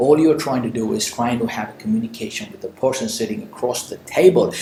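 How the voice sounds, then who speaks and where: The speaker talks with lively intonation in an Indian accent. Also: man. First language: Indian language. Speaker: motivational speaker and entrepreneur. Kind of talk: Q&A advice monologue. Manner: conversational with frequent fillers.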